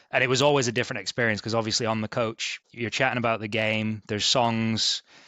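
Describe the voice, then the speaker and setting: A man talks at a very fast pace with a Yorkshire accent. His medium-pitched voice stays monotone, with flat intonation. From East Yorkshire, England (Hull). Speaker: sports ticket sales manager. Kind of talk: podcast interview.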